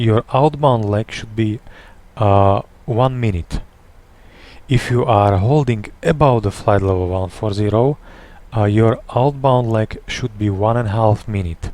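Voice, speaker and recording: Speaking at a fairly slow pace with long, frequent pauses, a man with a non-native accent has a medium pitch, ordinary pitch variation and a dark, mellow tone. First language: not English. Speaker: airline captain. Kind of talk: flight simulator tutorial. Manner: hesitant, stuttering.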